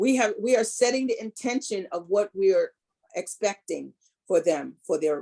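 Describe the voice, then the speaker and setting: With an American accent, a woman speaks at a moderate pace in a medium pitch, her tone dark and mellow, the sound dry and close with no echo. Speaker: holistic health and reiki practitioner. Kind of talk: wellness talk. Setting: video call. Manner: soothing, calm.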